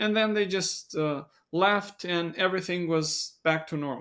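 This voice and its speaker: A man with a non-native accent at a very slow pace, ordinary pitch variation, and a very clean recording with a silent background. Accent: non-native English speaker. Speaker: biblical studies content creator. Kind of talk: podcast interview discussion. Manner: somewhat halting with fillers.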